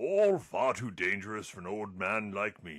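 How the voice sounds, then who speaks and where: Putting on a character voice, a man speaks at a fairly slow pace with very wide pitch swings. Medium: video game. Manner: courteous, genteel.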